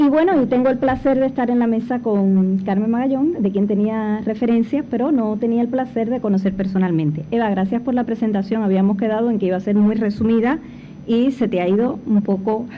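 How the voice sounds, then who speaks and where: A woman speaks at a fairly quick pace with hardly any pauses, her fairly high voice at very even loudness. Noticeable background noise and audible room echo are present. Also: ordinary pitch variation. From Cuba. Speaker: panel speaker, former foundation director. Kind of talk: conference talk. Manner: hesitant fillers.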